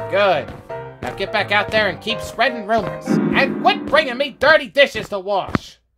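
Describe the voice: A put-on character voice, fairly high in pitch, at a moderate pace over faint music in the background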